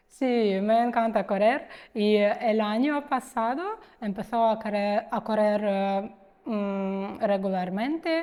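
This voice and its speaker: A woman with a Ukrainian accent speaks at a very slow pace, with a fairly high pitch and ordinary pitch variation. Her tone is dark and mellow, on a very clean recording with a silent background. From Ukraine, Kharkiv. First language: Ukrainian (speaking Spanish). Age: 30s. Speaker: immigrant interviewee. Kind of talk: interview. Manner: halting, many fillers.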